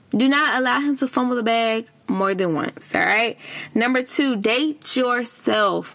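Noticeable background noise sits behind a woman with a high pitch and an animated tone who speaks at a fairly slow pace with ordinary pitch variation and very even loudness. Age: 30s. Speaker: podcast host. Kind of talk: casual advice monologue.

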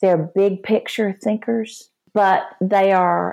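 Speaking very slowly with a Texan accent, a woman keeps a medium pitch and fairly even intonation. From Texas. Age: 60s. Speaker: Enneagram teacher and author. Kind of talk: interview.

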